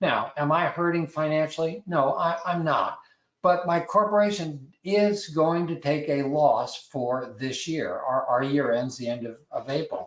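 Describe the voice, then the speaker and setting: With a fairly high pitch and ordinary pitch variation, a man speaks at a fairly slow pace. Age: 60s. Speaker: landlord and property manager. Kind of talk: webinar presentation. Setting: online webinar. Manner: halting, frequent word repetitions.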